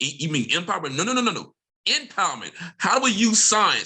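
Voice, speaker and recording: An animated, high-pitched man's voice with lively intonation and an American accent. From Mississippi, US South. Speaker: professor. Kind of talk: panel discussion. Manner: fast.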